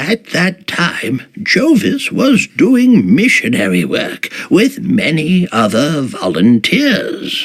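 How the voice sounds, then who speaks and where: A man uses a put-on character voice pitched high. He delivers it at a very slow pace. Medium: video game. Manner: measured, thoughtful.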